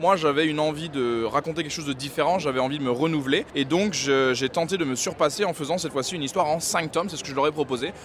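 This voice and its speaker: Very fast male speech with hardly any pauses, fairly high in pitch, with ordinary pitch variation, over noticeable background noise. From West Africa. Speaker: manga artist. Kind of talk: interview.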